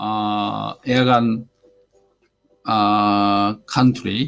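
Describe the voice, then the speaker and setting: A man with a Japanese accent, music in the background. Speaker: airgun hobby livestreamer. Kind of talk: casual live stream chat. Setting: live stream. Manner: halting, many fillers.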